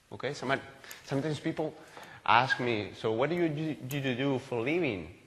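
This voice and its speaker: A man with a Spanish accent, fairly high-pitched, lively in intonation and fairly quick in pace. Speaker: agile coach, conference speaker. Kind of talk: conference talk. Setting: stage with audience. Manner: halting, self-correcting.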